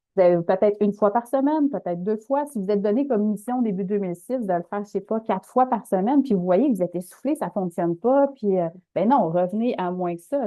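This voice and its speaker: Speaking very fast in a Quebec accent, a woman keeps a medium pitch with ordinary pitch variation. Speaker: webinar presenter. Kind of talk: webinar presentation. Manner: casual.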